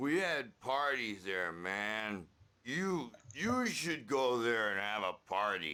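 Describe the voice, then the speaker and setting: A man does a put-on character voice at a medium pitch. He speaks very slowly, his pitch swinging very widely. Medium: video game. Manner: gruff, rowdy.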